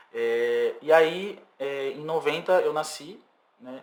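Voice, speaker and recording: A man's fairly high voice, a plain, everyday voice, with ordinary pitch variation. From São Vicente, São Paulo state, Brazil. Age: 30s. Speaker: singer-songwriter. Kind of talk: podcast interview.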